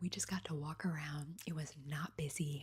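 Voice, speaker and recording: A soft-spoken woman talks at a moderate pace, her voice somewhat breathy. Her pitch is very deep and low, with fairly even intonation. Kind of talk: ASMR travel storytime.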